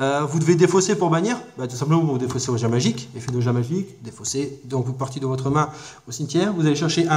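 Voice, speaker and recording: A fairly high-pitched man at a fairly quick pace, with audible room echo. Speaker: card game YouTuber. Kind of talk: casual deck review tutorial. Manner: fast; hesitant with many fillers.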